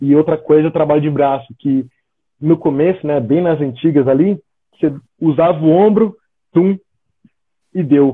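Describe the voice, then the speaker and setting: Moderate-paced speech from a man with a fairly high pitch, ordinary pitch variation, and long, frequent pauses. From Brazil, São Paulo state (São José dos Campos). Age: 30s. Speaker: American football linebacker. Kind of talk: casual live-stream interview.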